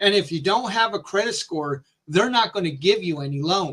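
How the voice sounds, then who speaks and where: A man's raised, projected voice, high for a man, bright and sharp in tone, with ordinary pitch variation and a fairly slow pace. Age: 50s. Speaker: live-stream show host. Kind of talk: casual live Q&A chat. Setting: live stream.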